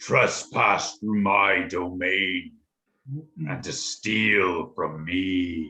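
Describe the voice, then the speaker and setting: A man's put-on character voice, very deep and low, at a very slow pace. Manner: menacing, imperious.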